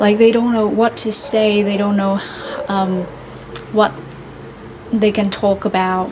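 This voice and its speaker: A woman talks at a fairly slow pace in a monotone, flat intonation, leaving long, frequent pauses. Noticeable background noise runs under her voice. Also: medium pitch for a woman. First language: Vietnamese. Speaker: vlogger practicing English. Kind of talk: casual monologue. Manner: halting, many fillers.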